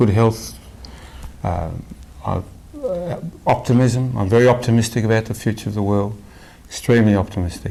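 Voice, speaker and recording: A man in an Australian accent, with long, frequent pauses. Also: medium pitch for a man, ordinary pitch variation, moderate pace. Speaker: spiritual devotee. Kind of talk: interview. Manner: halting, many repetitions.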